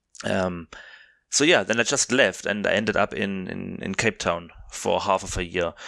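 A man with a German accent and a fairly low pitch speaks in a bright, sharp tone with ordinary pitch variation, recorded dry and close with no echo on a very clean recording with a silent background. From southern Germany. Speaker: podcast co-host. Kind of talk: casual comedic chat.

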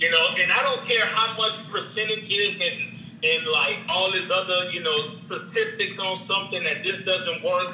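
A man with a high pitch talks in a raised, projected voice with hardly any pauses, amid noticeable background noise and audible room echo. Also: fairly even intonation, moderate pace. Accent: American. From New Orleans, US South. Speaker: real estate investor. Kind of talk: interview.

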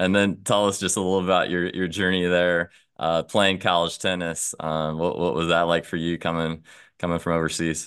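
Against a quiet background, a man speaks in a monotone, flat way with a very deep, low pitch. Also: moderate pace. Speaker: podcast host. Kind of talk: casual interview.

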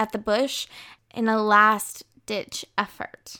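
This recording is very clean and the background is silent. The speaker is a woman with an American accent. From United States. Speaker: true crime podcaster, law student. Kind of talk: scripted narration.

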